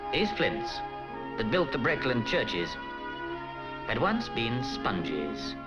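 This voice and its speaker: A British accent with very wide pitch swings over music in the background. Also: man. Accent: clipped received pronunciation. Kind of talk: documentary narration.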